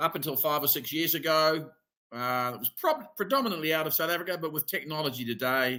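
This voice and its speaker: With a New Zealand accent, a man speaks at a fairly quick pace in a bright, sharp tone with ordinary pitch variation. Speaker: immigration advisor. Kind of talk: webinar presentation. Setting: online webinar. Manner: casual, filler-heavy.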